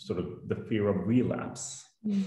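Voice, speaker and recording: This man talks at a fairly slow pace over a quiet background. Some room echo can be heard. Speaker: host of online session. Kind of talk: webinar hosting. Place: office. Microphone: video call.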